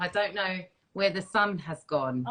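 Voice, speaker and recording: Speaking with an Essex accent, a woman keeps a moderate pace. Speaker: live stream host.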